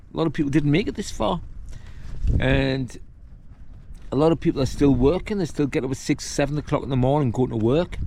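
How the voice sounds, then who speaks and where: A man with a northern English accent, fairly high pitch, ordinary pitch variation, a fairly quick pace and long, frequent pauses. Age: 60s. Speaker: hiking vlogger. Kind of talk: casual vlog monologue. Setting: outdoors on a windy summit. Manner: casual, rambling with fillers.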